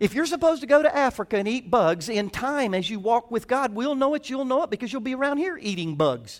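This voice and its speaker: A man's extremely high voice with a Southern US accent, lively intonation and a very fast pace. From US South. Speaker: pastor. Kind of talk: sermon.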